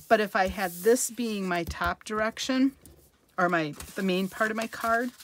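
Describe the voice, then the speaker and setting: A woman speaks in a normal speaking voice at medium pitch with ordinary pitch variation. Her moderate pace comes through in a dry, close sound with no echo. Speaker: card-making demonstrator. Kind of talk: crafting tutorial. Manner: casual, chatty.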